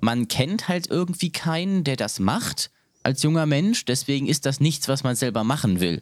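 In a very clean recording with a silent background, a man speaks at a moderate pace in a plain, everyday voice, fairly high-pitched, with lively intonation and very even loudness. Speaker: podcast host. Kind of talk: casual chat.

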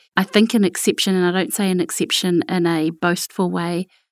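A woman is heard in a dry, close sound with no echo on a very clean recording with a silent background. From New Zealand, King Country. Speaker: corporate Māori strategy director. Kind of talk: interview conversation. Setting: studio.

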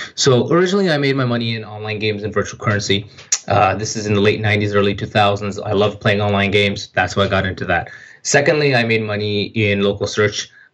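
Very fast talking from a man comes through noticeable background noise. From Pakistan, Saudi Arabia and Japan; Kashmiri heritage. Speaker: entrepreneur. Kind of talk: interview.

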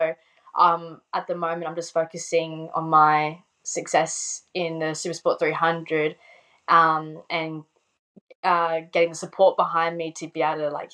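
With an Australian accent, a woman speaks fairly slowly in a fairly low voice. Her tone is bright and sharp, and her intonation is flat and monotone. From South Australia, Adelaide. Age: 20s. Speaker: motorbike racer. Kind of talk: casual chat. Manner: casual, laughs often.

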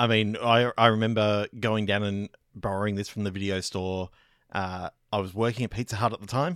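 A man's fairly low, fairly quick voice with an Australian accent and fairly even intonation, dry and close with no echo, on a very clean recording with a silent background. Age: 40s. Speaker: podcaster. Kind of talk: casual chat.

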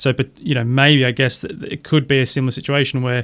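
On a very clean recording with a silent background, a man with an Australian accent talks at a fairly quick pace and a medium pitch. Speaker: podcast host and financial planner. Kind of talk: casual interview about investing.

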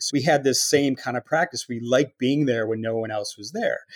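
A man with an American accent uses a normal speaking voice at medium pitch and a moderate pace. The recording is very clean, with a silent background. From Chicago area, US Midwest. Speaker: multidisciplinary artist and architect. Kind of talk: interview.

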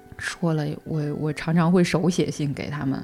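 Music plays behind a woman speaking in a flat monotone. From China. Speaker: single mother sharing her story. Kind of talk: personal story in casual interview.

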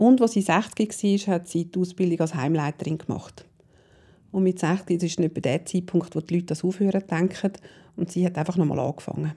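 A woman speaks at a fairly quick pace in a dark, mellow tone, her intonation fairly even. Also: fairly low pitch for a woman. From Switzerland, Zurich area. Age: 50s. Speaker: parent educator and coach. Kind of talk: interview. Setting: at guest's home.

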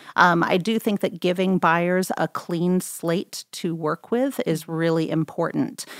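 A woman speaks in a normal speaking voice at a fairly low pitch, with ordinary pitch variation, a fairly slow pace and hardly any pauses, in a very clean recording with a silent background and a dry, close sound with no echo. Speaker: real estate agent. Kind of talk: casual interview. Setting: studio.

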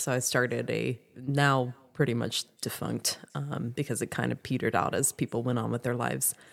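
A woman talks with vocal fry and fairly even intonation. The recording is very clean, with a silent background. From South Louisiana. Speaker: hostel owner and thru-hiker. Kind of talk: casual interview.

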